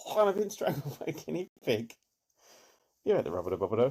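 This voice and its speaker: Speaking quietly with a British accent, a man lets his pitch swing very widely. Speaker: streamer. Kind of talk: casual chat. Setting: home at night, guests asleep. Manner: quiet, avoiding shouting.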